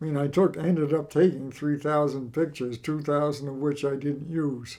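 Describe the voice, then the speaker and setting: At a moderate pace, a man with an American accent speaks in a dark, mellow tone, his fairly high pitch held in a monotone, flat intonation. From New England, Massachusetts coast. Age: 80s+. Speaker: local historian. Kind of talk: interview.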